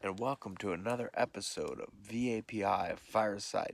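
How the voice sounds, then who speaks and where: The voice is soft-spoken. The sound is dry and close, with no echo. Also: man. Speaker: paranormal podcast host. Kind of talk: casual chat. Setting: outdoors.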